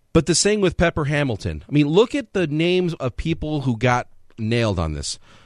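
This man's voice is fairly high in pitch, and he talks at a fairly quick pace with lively intonation. The sound is dry and close with no echo, and it is an ordinary speaking voice. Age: 30s. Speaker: fill-in sports radio host. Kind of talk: casual sports talk radio chat.

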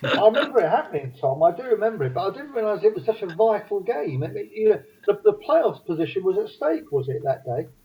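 A man talks fast, his pitch high and swinging widely. His voice has a husky, rough edge.

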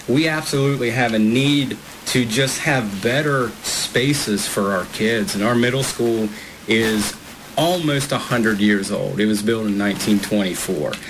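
Noticeable background noise lies under a man speaking at a fairly slow pace with ordinary pitch variation and very even loudness. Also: medium pitch for a man. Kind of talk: halftime interview. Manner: hesitant with filler words.

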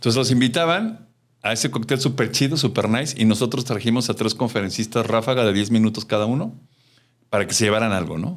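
The recording is very clean, with a silent background. A man talks very fast at a medium pitch with ordinary pitch variation. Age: 50s. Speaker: customer service trainer and speaker. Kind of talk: interview.

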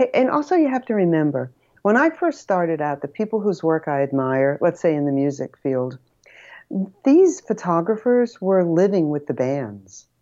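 A woman's dark, mellow voice at a fairly low pitch, with very wide pitch swings and a moderate pace. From Rhode Island. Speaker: photographer. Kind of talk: casual interview chat. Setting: remote call.

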